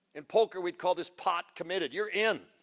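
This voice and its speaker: At a moderate pace with ordinary pitch variation, the voice sounds dry and close, with no echo. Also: man. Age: 60s. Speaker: motivational speaker. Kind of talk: motivational talk. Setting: stage with audience. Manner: animated.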